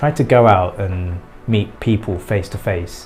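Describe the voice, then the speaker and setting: Fairly even intonation runs over music in the background. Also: man. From England. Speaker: vlogger. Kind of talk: casual vlog talk.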